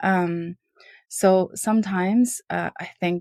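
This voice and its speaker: The woman's voice has ordinary pitch variation and a dry, close sound with no echo. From Uyghur (East Turkestan). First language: not English (English is her third language). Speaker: lawyer and entrepreneur. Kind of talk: podcast interview.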